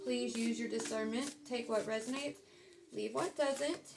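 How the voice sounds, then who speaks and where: Against noticeable background noise, a woman talks in an American accent. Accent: southern US accent, comes out at times. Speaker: tarot reader. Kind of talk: casual tarot reading monologue. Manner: casual, with many fillers.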